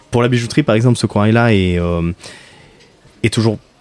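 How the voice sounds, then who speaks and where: Over noticeable background noise, a man talks with a fairly low pitch and ordinary pitch variation, the sound dry and close with no echo. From Marseille, southern France. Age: 30s. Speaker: professional coral diver. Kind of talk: interview. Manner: halting.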